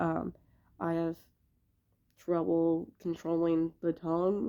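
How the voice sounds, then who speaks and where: A woman's fairly low, dark, mellow voice at a very slow pace, on a very clean recording with a silent background. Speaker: content creator with a chronic illness. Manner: halting, many fillers.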